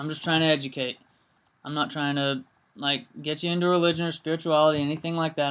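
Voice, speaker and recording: The speech runs at a very fast pace. The recording is very clean, with a silent background. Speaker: political commentary vlogger. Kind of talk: casual video commentary monologue. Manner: halting, many pauses and stutters; hesitant with frequent fillers.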